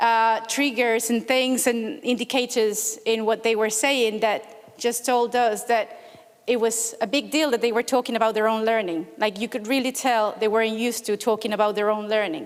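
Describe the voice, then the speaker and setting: A woman with a Spanish accent speaks at a moderate pace in a fairly high pitch and fairly even intonation. Noticeable background noise is present. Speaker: researcher presenting at a conference. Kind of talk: conference talk. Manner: hesitant, many fillers.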